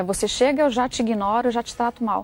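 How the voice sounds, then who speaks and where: A woman with a Brazilian accent, fairly high in pitch, with fairly even intonation, in a dry, close sound with no echo. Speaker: author. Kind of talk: interview.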